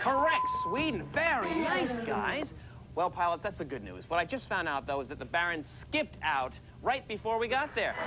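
A man's raised, projected voice at a moderate pace, with clear music in the background. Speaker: quiz show host. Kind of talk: game show hosting. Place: studio.

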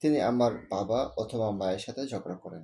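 A man speaks with a dark, mellow tone. His pitch shows ordinary variation. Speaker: author reading his own story. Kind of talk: short story reading.

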